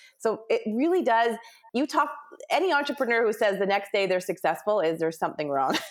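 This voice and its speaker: A woman with a Canadian accent talks at a fairly quick pace in a fairly high pitch, her loudness very even, with noticeable background noise behind her. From Canada, Ontario. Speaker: business organizer and author. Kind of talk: interview, casual chat.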